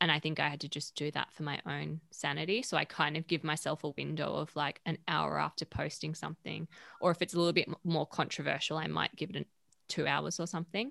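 A woman with an Australian accent speaks at a very deep, low pitch with vocal fry and a bright, sharp tone. She talks at a very fast pace with fairly even intonation in a dry, close sound with no echo. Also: very clean recording, silent background. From Western Australia, Perth. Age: 30s. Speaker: media founder and editor. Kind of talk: casual interview.

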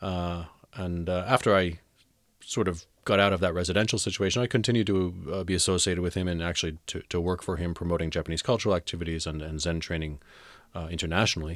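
Very fast speech in an American accent, with fairly even intonation, is captured in a very clean recording with a silent background. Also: man, very deep, low pitch for a man. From New Jersey, US East Coast. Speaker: Zen Buddhist abbot. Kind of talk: interview.

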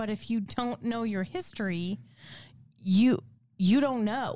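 Woman with an unremarkable speaking voice, fairly high pitch, lively intonation, and a moderate pace. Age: 40s. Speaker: podcast co-host. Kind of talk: casual chat.

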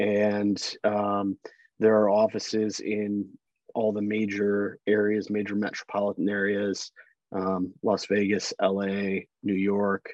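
With an American accent, a man at a fairly low pitch speaks at a very slow pace in monotone, flat intonation, the sound dry and close with no echo. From Chicago area, Illinois. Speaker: trial attorney. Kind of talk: interview.

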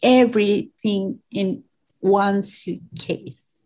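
A woman with a Venezuelan accent, somewhat breathy, at a very slow pace. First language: Spanish. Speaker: immigrant. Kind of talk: interview. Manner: halting.

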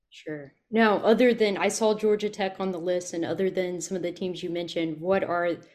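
This very clean recording has a silent background. A woman talks at a medium pitch and moderate pace with fairly even intonation. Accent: Southern US. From US South. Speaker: podcast host. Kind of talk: podcast interview.

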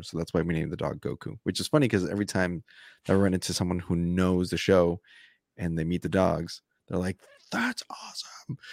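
A man with a very deep, low pitch talks at a fairly quick pace. The recording is very clean with a silent background, and the sound is dry and close with no echo. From Colombia, Bogotá; raised in small-town Nebraska from elementary school. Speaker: podcast host, author and stand-up comedian. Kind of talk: casual interview.

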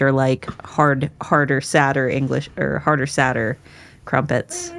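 Against noticeable background noise, a woman with an American accent talks at a fairly slow pace in a very deep, low pitch. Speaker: book podcast co-host. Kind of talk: casual chat.

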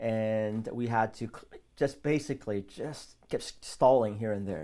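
An ordinary speaking voice from a man at medium pitch, moderate pace and fairly even intonation, in a very clean recording with a silent background. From South Korea, raised in US from age six. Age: 40s. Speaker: pastor. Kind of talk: casual interview.

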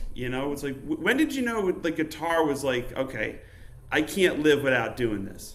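A fairly high-pitched man talks with lively intonation while noticeable background noise runs underneath. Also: moderate pace. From Upstate New York (Utica). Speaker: podcast host. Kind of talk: casual interview chat.

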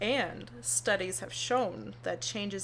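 A woman's voice with audible room echo. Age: 20s. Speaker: podcast co-host. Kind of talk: casual chat.

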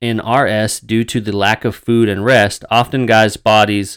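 A passage is plainly read out loud.

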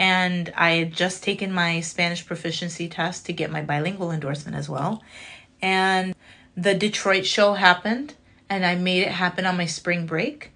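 A bright, sharp tone with an American accent, fairly even intonation, and a quiet background. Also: woman, fairly low pitch for a woman, moderate pace. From Chicago, US Midwest. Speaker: comedian and content creator. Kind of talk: casual chat.

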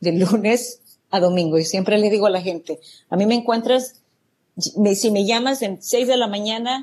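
Hers is an unremarkable speaking voice: a woman at medium pitch and moderate pace, with ordinary pitch variation. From El Salvador. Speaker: real estate entrepreneur. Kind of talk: interview.

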